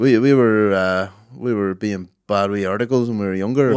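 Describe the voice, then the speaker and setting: Speaking at a moderate pace with a Northern Irish accent, a man uses a fairly low pitch and ordinary pitch variation. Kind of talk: casual, slangy, swears.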